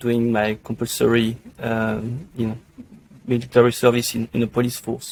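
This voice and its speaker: A man's medium-pitched, monotone voice, flat in intonation, with a French accent at a moderate pace. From France. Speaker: pharmacy tech industry executive. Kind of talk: podcast interview. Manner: hesitant, many fillers.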